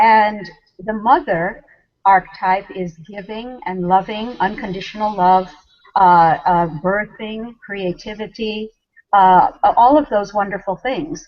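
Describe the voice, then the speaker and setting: Talking at a very slow pace, a woman of medium pitch uses ordinary pitch variation while her loudness swings widely. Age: 60s. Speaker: spiritual leader. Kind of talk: interview. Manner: hesitant with fillers.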